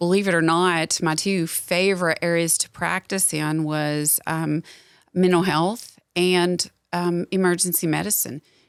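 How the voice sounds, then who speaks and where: On a very clean recording with a silent background, a woman with a Southern US accent speaks at a fairly slow pace in a fairly low, monotone, flat voice. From Southwest Louisiana, moved to Middle Tennessee as a child. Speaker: nurse practitioner. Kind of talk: podcast interview. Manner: casual, with fillers.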